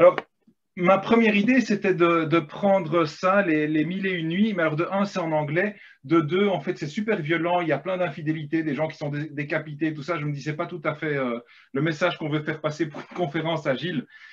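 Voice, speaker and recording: Someone with a slight Belgian accent speaks at a fairly quick pace with ordinary pitch variation. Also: man, fairly high pitch for a man. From Belgium. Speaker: agile coach and storyteller. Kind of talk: workshop storytelling. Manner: hesitant, many fillers.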